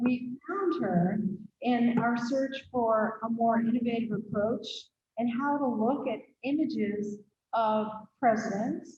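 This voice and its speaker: Speaking very slowly, a woman has a fairly high pitch and ordinary pitch variation. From Pennsylvania. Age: 60s. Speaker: museum host. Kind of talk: speaker introduction.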